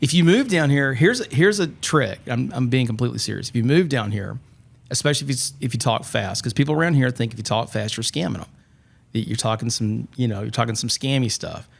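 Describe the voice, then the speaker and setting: On a very clean recording with a silent background, a man with a Southern US accent talks at a very fast pace, with vocal fry, a medium pitch and ordinary pitch variation. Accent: adopted Southern. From Atlanta, US South. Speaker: podcast guest. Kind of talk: casual chat.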